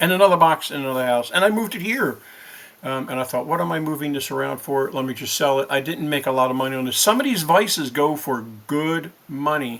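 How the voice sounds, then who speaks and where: A man's voice of medium pitch with ordinary pitch variation. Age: 60s. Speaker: eBay reseller, video creator. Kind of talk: tutorial. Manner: casual, hesitant with many fillers.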